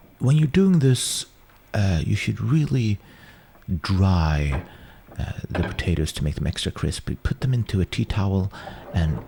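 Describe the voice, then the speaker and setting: With a Swedish accent, a man speaks at a fairly slow pace in a very deep, low pitch with very wide pitch swings, the sound dry and close with no echo over noticeable background noise. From Sweden. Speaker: home cook presenting cooking videos. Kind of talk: casual commentary over old cooking footage. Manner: hesitant, many fillers and restarts.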